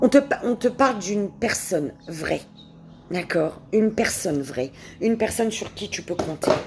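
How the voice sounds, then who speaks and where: Over noticeable background noise, a woman with a medium pitch speaks at a fairly slow pace, her voice making very wide pitch swings. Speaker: tarot card reader. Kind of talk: tarot reading. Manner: halting, repetitive.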